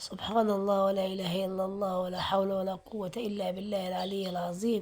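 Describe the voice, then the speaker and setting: A woman's moderate-paced speech comes through with noticeable background noise around it. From Aswan, Upper Egypt. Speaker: vlogger. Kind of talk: walking vlog. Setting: outdoors. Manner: prayerful, repetitive invocations.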